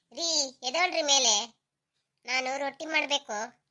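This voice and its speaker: A woman puts on a cartoonish character voice, high in pitch. She speaks at a fairly slow pace with ordinary pitch variation. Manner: eager, wheedling.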